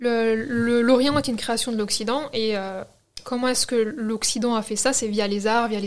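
A woman speaks in an ordinary speaking voice, fairly high in pitch, with fairly even intonation at a moderate pace. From France, Algerian heritage. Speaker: book influencer. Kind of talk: interview.

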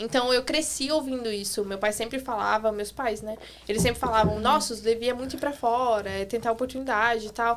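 A woman with a normal speaking voice, fairly high in pitch, at a fairly quick pace with hardly any pauses and fairly even intonation. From Santa Catarina, southern Brazil. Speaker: cleaner and former au pair. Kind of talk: casual chat. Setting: studio.

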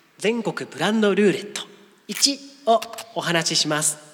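A man's high-pitched voice at a fairly slow pace, with ordinary pitch variation and noticeable background noise. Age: 30s. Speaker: podcast co-host. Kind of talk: casual chat.

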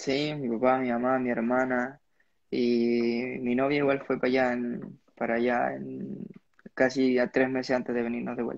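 A man with a Chilean accent at medium pitch, with fairly even intonation and a fairly slow pace. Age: young. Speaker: motocross rider. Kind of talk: casual interview. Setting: at home, live stream.

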